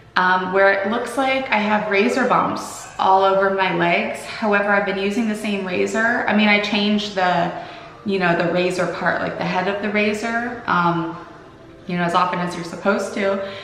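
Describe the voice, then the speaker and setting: A woman talks at a moderate pace and medium pitch, with fairly even intonation. Audible room echo and noticeable background noise fill the recording. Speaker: vlogger. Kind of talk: casual vlog. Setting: at home. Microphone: echoey room.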